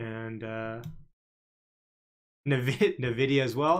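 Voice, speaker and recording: Ordinary pitch variation and medium pitch from a man with a normal speaking voice. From Canada. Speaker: stock market livestreamer. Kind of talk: live stream commentary. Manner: casual, filler-heavy.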